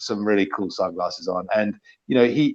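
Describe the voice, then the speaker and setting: Speaking at a fairly slow pace, a man talks with a London accent. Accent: southern English (London). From London (Chelsea), England. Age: 50s. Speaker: politician. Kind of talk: casual chat.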